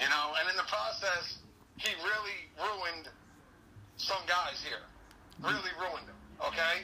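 A man talks at a high pitch and a fairly slow pace, with ordinary pitch variation. Long pauses come often, and background noise is noticeable. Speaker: guest, co-host and wrestling fan. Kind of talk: casual wrestling commentary, opinionated recap and analysis of the fights. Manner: animated, opinionated, jokey and sarcastic.

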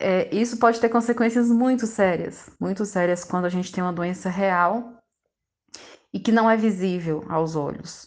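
This woman has a medium pitch and lively intonation. She talks at a moderate pace. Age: 40s. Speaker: psychology student sharing lived experience. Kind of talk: interview testimony.

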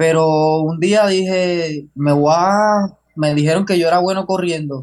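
A man with fairly even intonation. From Puerto Rico, Jayuya. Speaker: long-distance runner. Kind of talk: interview. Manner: halting.

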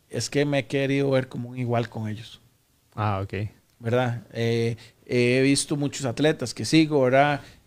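In a very clean recording with a silent background, a man with an unremarkable speaking voice talks at a fairly slow pace, medium in pitch and fairly even in intonation. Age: 40s. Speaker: powerlifting athlete. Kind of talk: interview. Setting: studio.

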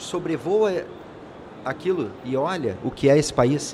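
A man's fairly high voice is heard with audible echo from the room. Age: 50s. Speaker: insurance executive. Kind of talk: interview. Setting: studio at a conference.

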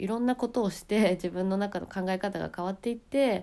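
A woman's dark, mellow voice at medium pitch, moderate pace and ordinary pitch variation, on a very clean recording with a silent background. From Japan. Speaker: podcaster and YouTuber. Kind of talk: casual monologue.

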